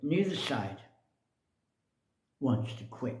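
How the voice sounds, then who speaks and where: In a room with audible echo, a man speaks very slowly at a medium pitch, somewhat breathy, with a dark, mellow tone. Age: 70s. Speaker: video blogger. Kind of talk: personal commentary monologue. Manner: casual, hesitant with fillers.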